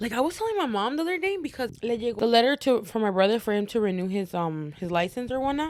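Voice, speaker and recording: Speech races along at a very fast clip, with hardly any pauses. The pitch swings very widely. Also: woman, fairly high pitch for a woman. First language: Spanish. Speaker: podcast co-host. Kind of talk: casual chat.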